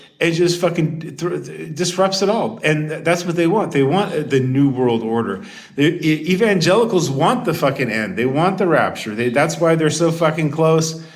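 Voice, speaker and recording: With noticeable background noise and audible room echo, a man talks in an animated tone at a fairly high pitch. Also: lively intonation, moderate pace. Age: 50s. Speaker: YouTuber. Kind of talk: casual monologue rant. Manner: halting.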